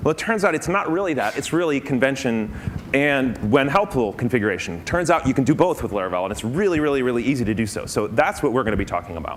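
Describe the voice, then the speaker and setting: Amid noticeable background noise and audible room echo, a man talks very fast with very wide pitch swings. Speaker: conference speaker. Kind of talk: conference talk.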